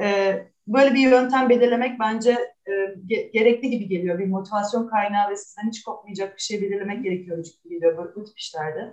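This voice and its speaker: At a fairly quick pace, a woman with an ordinary speaking voice talks at a medium pitch with ordinary pitch variation and big swings in loudness. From Istanbul, Turkey. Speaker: artist. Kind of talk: interview.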